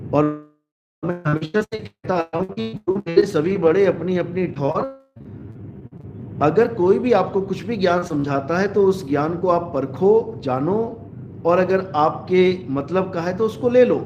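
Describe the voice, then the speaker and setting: This man speaks at a fairly slow pace with a high pitch. His pitch varies in an ordinary way. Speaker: spiritual preacher. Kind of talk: live religious discourse.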